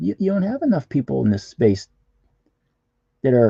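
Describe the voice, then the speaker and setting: A man's dark, mellow tone comes across as somewhat breathy, with very wide pitch swings and a dry, close sound with no echo. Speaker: comic artist streamer. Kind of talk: casual live-stream chat while drawing. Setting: live stream. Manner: halting, repetitive; usually quiet, talks little.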